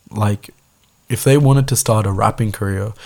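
A man speaks at a moderate pace in a medium pitch, his voice somewhat breathy. His pitch varies in an ordinary way. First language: Tamil. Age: 20s. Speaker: podcast host. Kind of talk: solo podcast monologue, casual. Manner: casual, rambling, filler-heavy.

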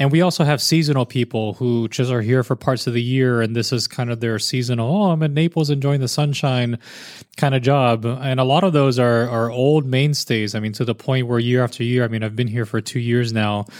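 Speaking at a fairly quick pace with hardly any pauses, a man uses an ordinary speaking voice of medium pitch and ordinary pitch variation. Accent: American. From US South, Miami, Florida. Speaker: zookeeper. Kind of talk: casual interview chat. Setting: on a boat at a zoo.

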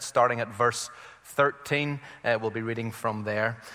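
A man with a Northern Irish accent speaks at a fairly quick pace. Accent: Northern Irish (Belfast). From Belfast, Northern Ireland. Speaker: visiting preacher. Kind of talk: sermon. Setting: church with congregation.

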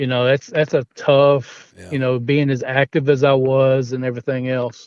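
In a Southern US accent, a man talks at a medium pitch with ordinary pitch variation.

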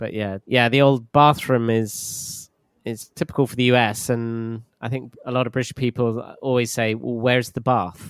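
The speaker has a London accent and a monotone, flat intonation. The pace is moderate. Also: man, medium pitch for a man. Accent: southern English (London). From southern England, southwest. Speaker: English teacher. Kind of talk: casual chat.

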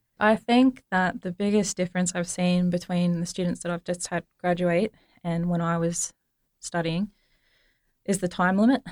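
A woman with an Australian accent at a moderate pace, her pitch fairly low and her intonation fairly even, in a dry, close sound with no echo. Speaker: engineering academic. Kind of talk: interview.

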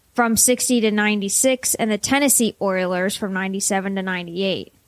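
A woman with a Pittsburgh accent, very fast pace and fairly even intonation. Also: medium pitch for a woman. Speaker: podcast co-host. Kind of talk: casual chat.

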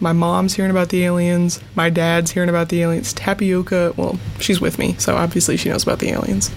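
In an American accent, a woman talks at a fairly quick pace with hardly any pauses, her pitch fairly low and ordinary in its variation. Her loudness stays very even, and noticeable background noise runs behind her. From US Midwest (Wisconsin). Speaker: podcast host. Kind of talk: solo casual monologue. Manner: animated.

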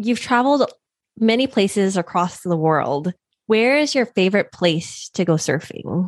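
Heard on a very clean recording with a silent background and a dry, close sound with no echo, a woman uses a normal speaking voice at a medium pitch. She goes at a fairly slow pace with lively intonation. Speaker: podcast host. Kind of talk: interview.

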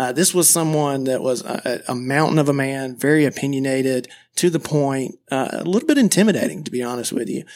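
A plain, everyday voice from a man with an American accent, fairly high in pitch, at a fairly quick pace with hardly any pauses and ordinary pitch variation, on a very clean recording with a silent background. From US South, small-town Georgia. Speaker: wealth advisor, podcast host. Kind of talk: scripted podcast introduction.

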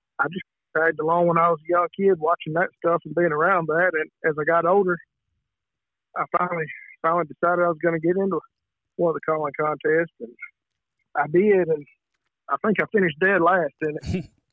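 Speaking at a fairly quick pace with long, frequent pauses, a man with a Southern US accent uses a high pitch and fairly even intonation. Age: 30s. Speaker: turkey call maker and competition caller. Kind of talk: casual interview.

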